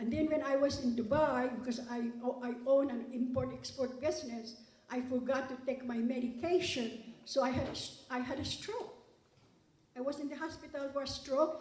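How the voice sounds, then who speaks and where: Amid audible room echo, a woman with a high voice speaks with a non-native accent. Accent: foreign. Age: 70s. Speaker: award recipient, businesswoman. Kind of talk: award acceptance speech. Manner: animated.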